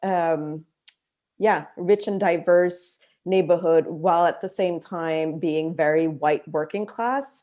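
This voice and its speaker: In a very clean recording with a silent background, a woman speaks very slowly in a fairly low, dark, mellow voice with ordinary pitch variation. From Montreal, Quebec. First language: French and Vietnamese. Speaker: artist. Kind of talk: panel discussion.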